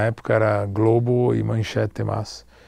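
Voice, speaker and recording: A man speaks with a fairly low pitch, a dark, mellow tone and a somewhat breathy quality, using ordinary pitch variation. The sound is dry with no echo, over a quiet background. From Brazil, São Paulo (born Rio de Janeiro). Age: 40s. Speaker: film producer; guest. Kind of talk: interview. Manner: halting, mixing Portuguese and Spanish. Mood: relaxed, reflective. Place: hall.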